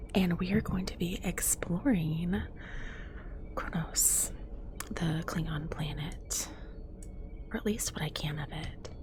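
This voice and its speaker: Soft-spoken and very slow, the speech has long, frequent pauses over noticeable background noise. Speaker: ASMR gaming content creator. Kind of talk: relaxed gameplay commentary.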